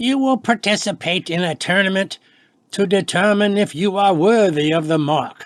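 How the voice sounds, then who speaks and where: Putting on a character voice, a man talks in a high, husky tone with lively intonation at a moderate pace. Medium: read story. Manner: low, measured.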